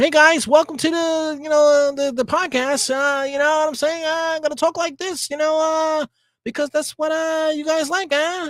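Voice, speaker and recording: A man talks in a put-on character voice at an extremely high pitch. His pace is moderate. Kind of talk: casual, filler-heavy.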